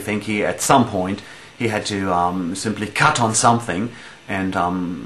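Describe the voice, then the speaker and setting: A man with a German accent talks at a fairly slow pace, his pitch varying in an ordinary way. Noticeable background noise runs underneath. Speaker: metal band musician. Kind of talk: casual interview answering fan questions. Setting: at home in dining room. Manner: halting, many fillers.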